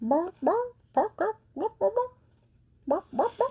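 A put-on character voice at an extremely high pitch, full of very wide pitch swings. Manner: playful.

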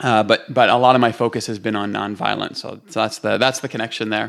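A man with a Canadian accent talks at a very fast pace, his voice showing vocal fry. The recording is very clean, with a silent background. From Canada, Toronto. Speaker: pastor and author. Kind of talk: podcast interview.

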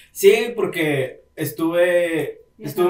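Against noticeable background noise, a man talks at a high pitch. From Monterrey, Mexico. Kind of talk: casual chat.

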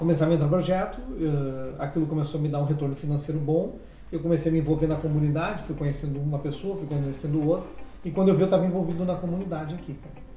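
A man with a somewhat high voice rattles along very quickly as background noise stays clearly audible. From Rio Grande do Sul, Brazil. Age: 40s. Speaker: architect and local party president. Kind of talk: podcast interview. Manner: casual, filler-heavy with repetitions.

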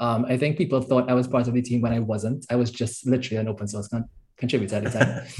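Very fast and somewhat breathy, a man speaks at a medium pitch with fairly even intonation. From Trinidad. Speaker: software engineer. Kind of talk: casual interview.

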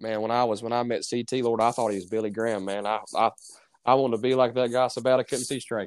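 Speech comes from a man at a very fast pace. The intonation stays monotone and flat. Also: medium pitch for a man. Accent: Southern US. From North Carolina. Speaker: preacher. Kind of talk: casual interview.

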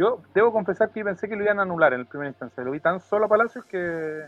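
Very fast, lively speech with big swings in loudness and noticeable background noise. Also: man. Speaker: football podcast host. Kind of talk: scripted narration; casual chat.

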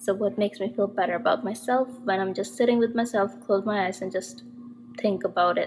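A woman talks fairly quickly with lively intonation, noticeable background noise behind her. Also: medium pitch for a woman. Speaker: podcast host. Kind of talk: casual monologue. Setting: temporary place in another city.

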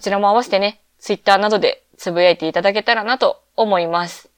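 The sound is dry and close with no echo, over a quiet background. Pitch variation is ordinary. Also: woman. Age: 20s. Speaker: podcast host. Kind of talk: solo casual podcast talk. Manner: relaxed, laid-back.

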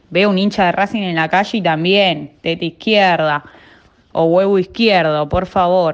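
A woman talks in a plain, everyday voice at a fairly slow pace. Her pitch is medium and her intonation fairly even. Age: 20s. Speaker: football fan. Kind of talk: personal testimony.

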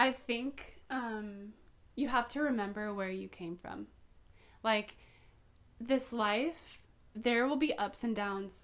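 A woman with an American accent talks very slowly at a fairly high pitch, with ordinary pitch variation. Her speech has long, frequent pauses. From Southern California (Poway). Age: 20s. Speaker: podcaster. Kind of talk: casual chat.

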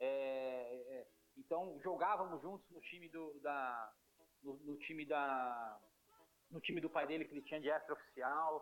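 Pitched fairly high, a man speaks at a fairly slow pace with fairly even intonation. His loudness swings widely. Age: 40s. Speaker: futsal goalkeeper. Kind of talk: casual interview. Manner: halting, repeats words.

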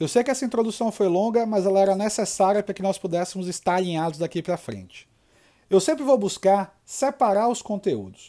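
A man's high, dark, mellow voice at a fairly quick pace with ordinary pitch variation, in a very clean recording with a silent background. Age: 30s. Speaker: sales trainer and podcast host. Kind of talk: solo podcast monologue.

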